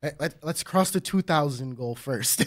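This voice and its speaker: A man's fairly high-pitched voice with lively intonation on a very clean recording with a silent background. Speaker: card game channel co-host. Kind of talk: casual podcast chat. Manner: quiet.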